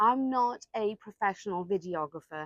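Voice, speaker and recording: A woman with a Welsh accent talks at a moderate pace, the sound dry and close with no echo against a quiet background. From Wales. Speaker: real estate agent. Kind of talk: casual talk to camera.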